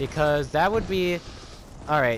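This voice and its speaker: Noticeable background noise sits under the recording. Over it, a man talks at a moderate pace. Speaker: gaming youtuber. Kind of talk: let's play commentary. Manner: casual, halting.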